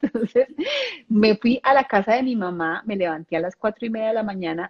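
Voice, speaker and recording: Somewhat breathy and fairly high in pitch, a woman speaks at a fairly slow pace with lively intonation. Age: 40s. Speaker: ontological coach. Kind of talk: casual chat.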